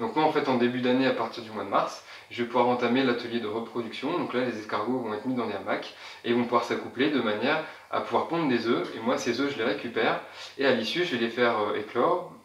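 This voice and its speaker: Noticeable background noise accompanies a man speaking at a fairly quick pace. His pitch is medium, with ordinary variation. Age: 20s. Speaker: snail farmer. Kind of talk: interview answer.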